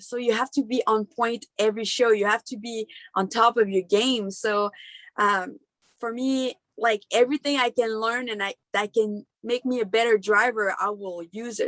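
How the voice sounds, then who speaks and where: A woman with a Quebec accent speaks at a moderate pace in a fairly high pitch, her tone passionate and her pitch variation ordinary. The sound is dry and close, with no echo. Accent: Québécois French-accented English. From Quebec, Canada. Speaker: monster truck driver. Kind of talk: interview answer.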